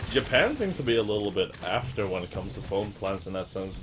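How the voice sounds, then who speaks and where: A man's fairly low voice with a Swedish accent at a fairly quick pace, over noticeable background noise. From Sweden. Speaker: gaming streamer. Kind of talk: casual chat. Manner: halting.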